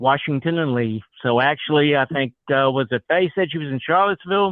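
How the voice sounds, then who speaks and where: Here a man talks at a fairly quick pace with a slight Southern US accent. His pitch is fairly high, with ordinary variation. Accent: slight Southern accent, picked up over years. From New Jersey (Cranford). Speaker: retired accountant and attorney. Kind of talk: casual chat.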